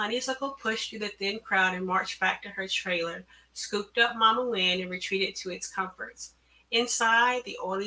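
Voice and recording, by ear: Read aloud in a natural voice, the words move with ordinary pitch variation.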